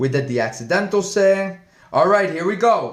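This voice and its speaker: A man's animated, high-pitched voice with audible room echo. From Spain, Madrid. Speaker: Spanish teacher. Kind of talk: live-stream language lesson. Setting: live stream.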